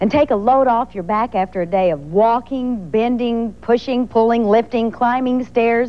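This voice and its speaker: Over noticeable background noise, a woman with a fairly high pitch speaks at a moderate pace with ordinary pitch variation. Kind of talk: TV commercial read.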